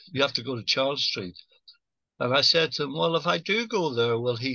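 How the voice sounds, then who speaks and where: A man's fairly high-pitched voice carries noticeable vocal fry. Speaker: actor and singer. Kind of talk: casual chat. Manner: halting.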